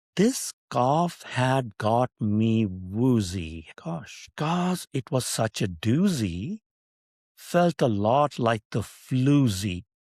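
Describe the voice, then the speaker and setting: In a Pakistani accent, a man talks very slowly at a medium pitch with very wide pitch swings, on a very clean, silent-background recording with a dry, close sound and no echo. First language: Urdu. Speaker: podcast host. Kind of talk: casual monologue with poetry reading. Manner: playful, animated.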